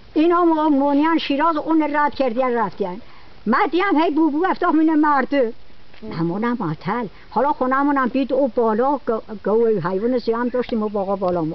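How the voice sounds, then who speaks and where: The speaker talks at a moderate pace with a Hamadani accent amid noticeable background noise. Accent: Toyserkani Persian dialect. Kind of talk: casual storytelling.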